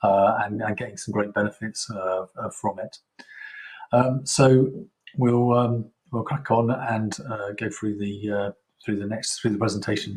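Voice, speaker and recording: Speaking with a British accent, a man with a somewhat breathy, fairly low voice goes at a fairly slow pace with fairly even intonation. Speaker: software vendor presenter. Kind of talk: product presentation. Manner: halting, many fillers.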